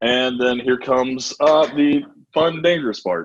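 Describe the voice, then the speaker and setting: This man has a medium pitch. He talks at a fairly slow pace. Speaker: bartender teaching a cocktail class. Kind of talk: online cooking class demonstration.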